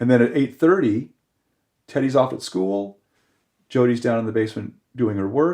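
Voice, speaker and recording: In a Californian accent, a man with a dark, mellow tone talks at medium pitch and a moderate pace, with ordinary pitch variation and long, frequent pauses. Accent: Californian American English. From Los Angeles, California. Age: 60s. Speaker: surf writer and historian. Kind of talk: casual podcast interview. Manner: halting, many restarts.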